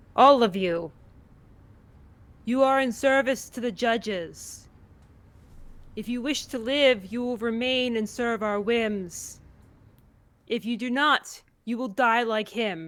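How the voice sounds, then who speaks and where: A loud, put-on character voice comes at a fairly high pitch and a fairly slow pace. Long pauses break it up often. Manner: loud, commanding, menacing.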